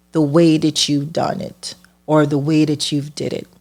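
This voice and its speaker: A woman's very deep, low voice in a Caribbean accent. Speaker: hairstylist and podcast host. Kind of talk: personal storytelling.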